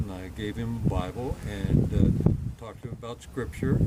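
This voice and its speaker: A man speaks at a moderate pace and a fairly low pitch. Noticeable background noise runs behind him. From Northern California (Santa Rosa). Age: 60s. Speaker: film stunt double. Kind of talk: Q&A storytelling with audience. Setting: evening cruise on a sailing ship, audience present. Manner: halting, with many repetitions.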